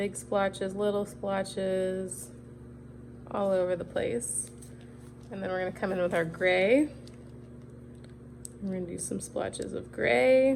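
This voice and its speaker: The voice moves through very wide pitch swings and leaves long, frequent pauses. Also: woman, medium pitch for a woman. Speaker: cookie decorating instructor. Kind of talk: tutorial. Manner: fast.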